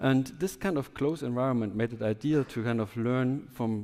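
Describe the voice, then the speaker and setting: A man's dark, mellow voice in a German accent at a moderate pace. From southwest Germany. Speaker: biotech entrepreneur, scientist. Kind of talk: conference talk.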